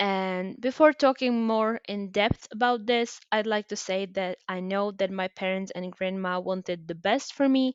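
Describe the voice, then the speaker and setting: A woman speaks at a medium pitch and a fairly slow pace with ordinary pitch variation, in a Czech accent. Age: 20s. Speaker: podcaster. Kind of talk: personal storytelling monologue. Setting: homemade recording. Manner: hesitant, with fillers.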